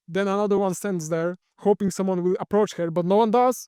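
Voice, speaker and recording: A man with a Polish accent and fairly even intonation, with music in the background. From Poland. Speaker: commentary YouTuber. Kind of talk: casual video commentary. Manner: hesitant, filler-heavy.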